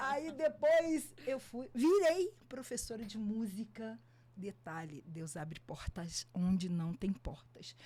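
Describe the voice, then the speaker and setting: At a very slow pace, a woman with a fairly high pitch, very wide pitch swings, a somewhat breathy voice and a dark, mellow tone speaks. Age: 60s. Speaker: photographer and music teacher. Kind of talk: podcast interview.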